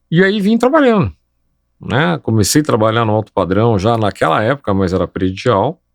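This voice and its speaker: The speaker has an unremarkable speaking voice with lively intonation and very even loudness. The pace is moderate, and the recording is very clean with a silent background. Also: man, medium pitch for a man. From Brazil, São Paulo. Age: 60s. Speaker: civil engineer. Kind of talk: interview conversation.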